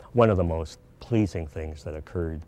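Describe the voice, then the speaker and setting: This man's voice has a very deep, low pitch and a dark, mellow tone. He speaks with a Canadian accent. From Montreal, Quebec. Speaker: retired university president and educator. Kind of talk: interview reminiscence.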